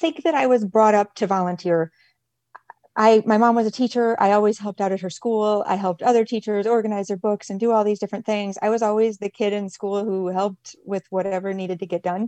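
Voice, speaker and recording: Against a quiet background, a woman with an American accent talks at a fairly quick pace, her medium-pitched voice dark and mellow, her intonation fairly even, the sound dry and close with no echo. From Michigan, US. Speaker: nonprofit director. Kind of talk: interview.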